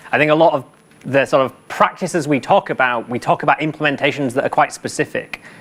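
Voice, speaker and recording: Speaking with a British accent, the voice keeps a fairly quick pace. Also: man. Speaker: conference speaker, software engineer. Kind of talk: conference talk. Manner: fast.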